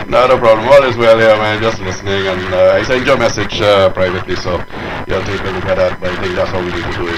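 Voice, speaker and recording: Against noticeable background noise and audible room echo, a man speaks at a fairly quick pace, his pitch fairly low with ordinary variation. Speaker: amateur radio operator. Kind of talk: radio chat. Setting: amateur radio transmission. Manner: fast.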